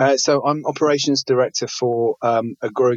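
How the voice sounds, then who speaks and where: This is a man speaking. He has a British accent. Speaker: restaurateur, wine ambassador. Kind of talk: interview. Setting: online audio chat room.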